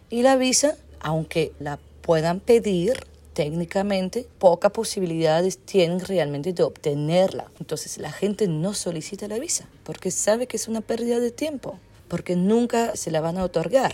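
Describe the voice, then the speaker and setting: A woman's dark, mellow tone carries lively intonation. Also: medium pitch for a woman, moderate pace. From Belgium. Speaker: anthropologist. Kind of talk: interview.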